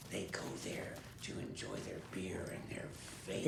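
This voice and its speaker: A man whispering in a put-on character voice at a moderate pace, with slight echo and loud background noise. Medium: game stream. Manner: dry, wry.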